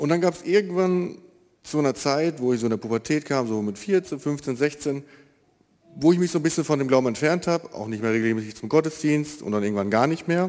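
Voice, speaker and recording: Fairly high in pitch, a man talks at a fairly quick pace in an unremarkable speaking voice. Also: lively intonation. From Germany, East Westphalia (Marienfeld). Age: 20s. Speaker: baker. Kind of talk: testimony. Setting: church.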